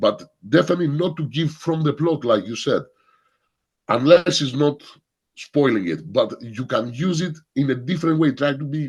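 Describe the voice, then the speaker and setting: A man with a fairly high pitch, vocal fry and ordinary pitch variation, at a moderate pace against a quiet background. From Greece. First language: Greek. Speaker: film workshop leader. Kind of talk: workshop Q&A. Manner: halting, repeats words.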